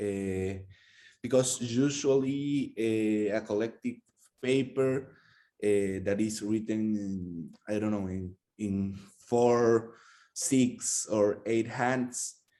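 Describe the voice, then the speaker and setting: A man speaks at a very slow pace in a fairly low pitch, his tone dark and mellow and his intonation fairly even, over a quiet background. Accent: Spanish. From Peru. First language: Spanish. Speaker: workshop participant. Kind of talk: academic group discussion. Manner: hesitant, frequent uh fillers.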